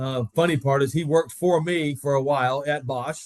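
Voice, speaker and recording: A man with an American accent speaks in a normal speaking voice, fairly high in pitch, at a fairly quick pace with fairly even intonation. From Florida, Tampa. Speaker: tool company executive. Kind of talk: casual interview.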